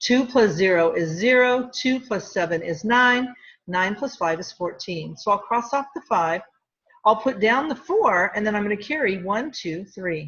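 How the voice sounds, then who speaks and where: A woman with a normal speaking voice talks at a moderate pace, her fairly high pitch carrying lively intonation. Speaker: middle school math teacher. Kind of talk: tutorial.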